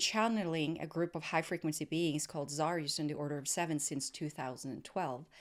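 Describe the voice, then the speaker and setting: On a very clean recording with a silent background, a woman with a non-native accent speaks at a fairly low pitch. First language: not English. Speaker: podcast host. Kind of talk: casual interview chat. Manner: halting, searching for words.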